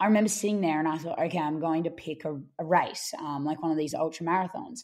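In an Australian accent, a woman talks at a fairly low pitch with ordinary pitch variation. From Australia, Brisbane. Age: 20s. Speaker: ultramarathon runner. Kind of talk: interview.

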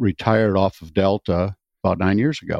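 A man speaks in a normal speaking voice with an American accent. His pitch is fairly low. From US Midwest, Wisconsin. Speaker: retired airline pilot and vintage bomber pilot. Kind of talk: interview.

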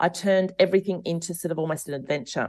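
Against a quiet background, a woman talks at a fairly quick pace with a fairly low pitch and an Australian accent. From Australia, rural. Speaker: author and podcaster. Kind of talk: interview. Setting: remote interview.

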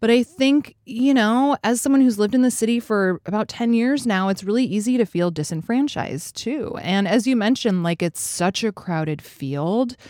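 A woman's normal speaking voice, fairly high-pitched, with an American accent, lively intonation, a moderate pace and hardly any pauses, in a very clean recording with a silent background and a dry, close sound with no echo. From Alaska, US. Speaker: podcast host. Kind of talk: casual chat.

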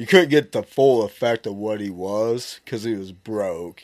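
A man's unremarkable speaking voice, at a fairly slow pace with ordinary pitch variation. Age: 40s. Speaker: deer hunter. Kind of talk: casual chat.

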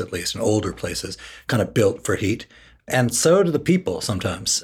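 With an American accent, a man speaks fairly quickly in a somewhat breathy voice, his intonation lively. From Washington, D.C. (Northwest). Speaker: podcast co-host. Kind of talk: casual chat.

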